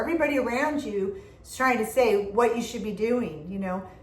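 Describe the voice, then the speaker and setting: Animated in tone, a woman speaks at a moderate pace with audible room echo. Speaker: tarot reader. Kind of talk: tarot reading. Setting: indoor room. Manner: loud.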